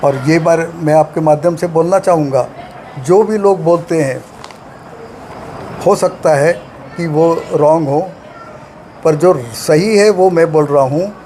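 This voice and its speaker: A man speaks in a high pitch with fairly even intonation and long, frequent pauses. Noticeable background noise is present. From Belgaum, Karnataka-Maharashtra border. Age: 80s+. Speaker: retired scientist and health lecturer. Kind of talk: interview.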